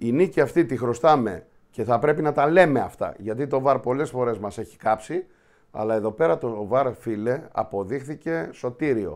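Over a quiet background, a man talks at a moderate pace with lively intonation. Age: 50s. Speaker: show host. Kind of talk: casual football talk show. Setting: studio. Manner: animated. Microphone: webcam.

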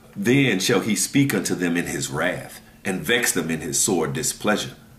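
A man talks at a moderate pace. Audible room echo surrounds his voice. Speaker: religious teacher. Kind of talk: scripture reading with sermon commentary. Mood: relaxed, laughs at times. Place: home room. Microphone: webcam.

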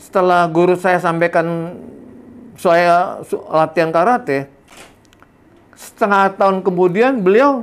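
A high-pitched man at a very slow pace, with long, frequent pauses. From Indonesia, Jakarta; Indonesia. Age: 70s. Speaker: karate master. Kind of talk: interview storytelling. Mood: warm, reminiscing. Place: home room. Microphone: lapel.

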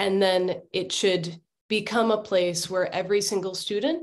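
A woman at a moderate pace. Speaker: education nonprofit worker. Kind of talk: panel discussion. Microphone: video call.

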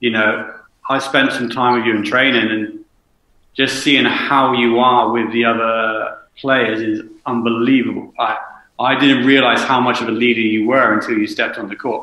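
Monotone, flat intonation marks this man's speech. His pitch is medium and his pace moderate. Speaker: basketball coach and podcast co-host. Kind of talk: casual podcast chat.

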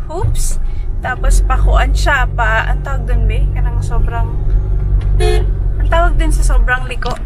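Loud background noise sits under a woman speaking at a fairly slow pace. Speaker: travel vlogger. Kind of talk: casual vlog chat. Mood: relaxed, cheerful. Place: car. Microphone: phone near.

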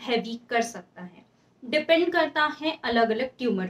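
A woman at a fairly slow pace, with ordinary pitch variation. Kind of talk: health explainer talk. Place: home room.

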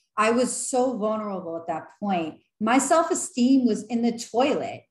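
Woman's voice with audible room echo against a quiet background. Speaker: vlogger. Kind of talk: casual vlog chat. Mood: earnest, encouraging. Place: home room. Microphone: webcam.

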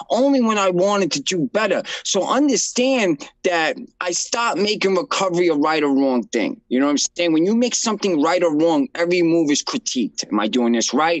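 In a New York accent, a man talks at a fairly quick pace with hardly any pauses, his high-pitched voice swinging very widely in pitch while its loudness stays very even over a quiet background. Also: dry sound with no echo. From Brooklyn, New York. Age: 30s. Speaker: nonprofit founder in addiction recovery. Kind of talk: interview. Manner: casual. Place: office. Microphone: video call.

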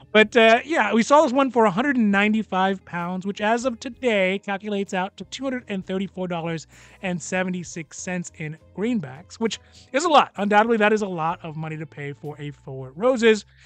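Fairly slow speech in a dry sound with no echo, faint music in the background. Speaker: whiskey reviewer. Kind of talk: casual product review commentary. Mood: relaxed, lightly humorous. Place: home room.

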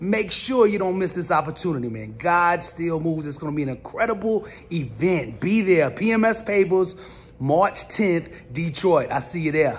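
Over music in the background, a man with a high-pitched voice speaks at a moderate pace with lively intonation. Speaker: motivational speaker. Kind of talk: event promo to audience. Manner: energetic, intense. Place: home room. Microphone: phone near.

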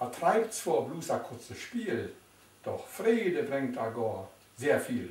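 The voice carries a Silesian accent and very wide pitch swings. It moves at a very slow pace amid audible room echo. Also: man. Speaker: dialect poetry reciter. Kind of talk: poetry reading. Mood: calm, warm, nostalgic. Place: home room. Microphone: camera far.

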